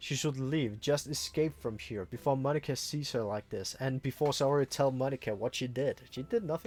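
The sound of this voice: Here is an unforced reading voice. The pitch varies in an ordinary way.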